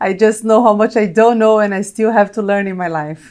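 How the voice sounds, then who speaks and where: A woman with a Brazilian accent talks at a fairly quick pace. Her voice sits at a medium pitch with fairly even intonation. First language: Portuguese. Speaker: corporate technology executive. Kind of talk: interview.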